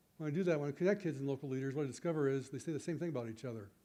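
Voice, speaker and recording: A man's very fast speech in a dark, mellow tone with ordinary pitch variation. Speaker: teacher educator. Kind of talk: conference talk. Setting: stage with audience.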